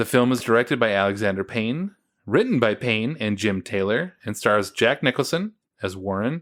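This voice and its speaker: A plain, everyday voice from a man with an American accent, medium pitch, moderate pace and lively intonation, on a very clean recording with a silent background. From United States. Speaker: podcast host. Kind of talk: casual chat.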